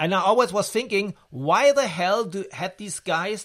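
In a very clean recording with a silent background, a man speaks with a German accent at a moderate pace and with ordinary pitch variation. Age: 50s. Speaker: podcast host. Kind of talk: interview; scripted narration.

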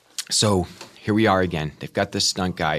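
A man with an American accent and a very deep, low pitch. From Kansas City area, US Midwest. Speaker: actor. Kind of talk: casual interview.

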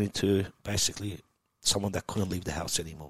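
A man speaks with an Australian accent at a fairly quick pace. The sound is dry and close, with no echo. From Iran, raised in Melbourne, Australia. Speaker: tech entrepreneur. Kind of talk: podcast interview. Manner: animated.

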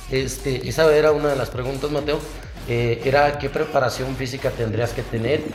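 A man's fairly evenly intoned speech at a moderate pace, with audible room echo and noticeable background noise. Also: medium pitch for a man. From Mexico, Zacatecas. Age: 30s. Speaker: podcast host. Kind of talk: casual interview.

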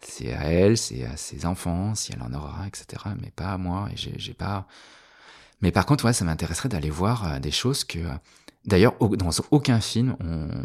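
The voice swings very widely in pitch and loudness shifts by big amounts, with vocal fry throughout. It moves at a fairly slow pace in a very clean recording with a silent background. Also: man, very deep, low pitch for a man. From France, Annecy. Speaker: artist and designer. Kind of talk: casual interview chat. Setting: artist's studio.

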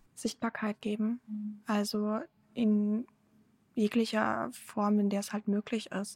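Somewhat breathy and at medium pitch, a woman speaks at a fairly slow pace in a dry, close sound with no echo. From Germany (born in Ukraine). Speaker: press spokesperson for a Ukrainian aid group. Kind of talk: podcast interview.

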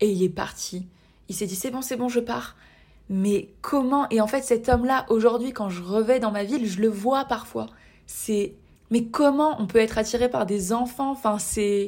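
A woman's fairly high voice with ordinary pitch variation, an ordinary speaking voice. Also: fairly slow pace. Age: 20s. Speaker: podcast host. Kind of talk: solo podcast monologue.

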